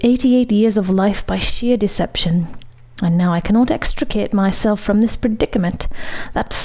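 A natural voice reads the words aloud.

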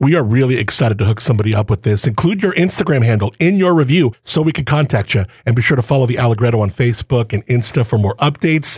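A man talks at a very fast pace with hardly any pauses, using an animated tone and lively intonation at a medium pitch. His loudness stays very even, and the sound is dry and close with no echo. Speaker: wine podcast host. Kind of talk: casual interview chat. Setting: on location in a bar.

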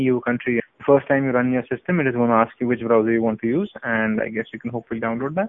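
This man talks at a very fast pace. His medium-pitched voice keeps fairly even intonation. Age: 20s. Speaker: tech podcast co-host. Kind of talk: casual chat.

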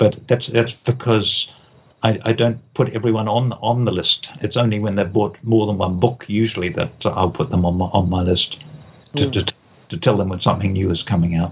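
A man speaks in a fairly low, somewhat breathy voice. His pace is moderate and his intonation fairly even. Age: 70s. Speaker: author and mentalist. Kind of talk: interview.

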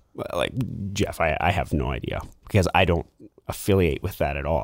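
With a Western Canadian accent, a man speaks with vocal fry and lively intonation in a dry, close sound with no echo on a very clean recording with a silent background. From Lower Mainland, British Columbia, Canada (Vancouver). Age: 30s. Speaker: church elder, manufacturing manager. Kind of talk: casual interview chat.

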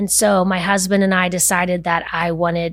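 An American accent marks this woman's normal speaking voice, fairly low in pitch with fairly even intonation, on a very clean recording with a silent background. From Winter Park, Florida (US South). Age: 50s. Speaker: non-profit founder, former wealth planner. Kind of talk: casual interview.

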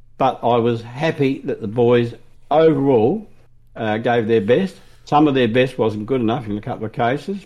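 An Australian-accented man with a dark, mellow tone and ordinary pitch variation. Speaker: AFL fan podcast co-host. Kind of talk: casual sports chat.

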